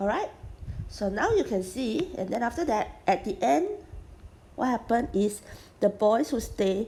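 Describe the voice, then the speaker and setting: Lively intonation runs through the speech. The voice has a somewhat breathy quality. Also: woman. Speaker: math tutor. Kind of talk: tutorial.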